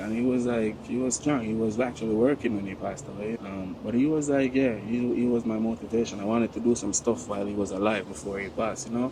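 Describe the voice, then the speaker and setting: Over noticeable background noise, a man with a Jamaican accent talks at a very fast pace, his medium pitch carried by fairly even intonation. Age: 30s. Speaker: hotel waiter. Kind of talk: interview answer. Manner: casual, conversational.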